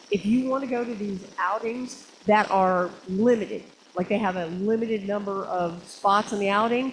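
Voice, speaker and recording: The woman's fairly high voice keeps to a moderate pace. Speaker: photography club leader. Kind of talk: club meeting announcements. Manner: animated.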